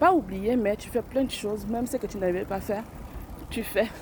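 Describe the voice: A woman with a medium pitch talks at a moderate pace, her pitch varying in an ordinary way.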